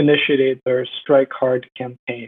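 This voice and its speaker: A man with an American accent talks at a fairly high pitch. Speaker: university student. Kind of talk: podcast interview.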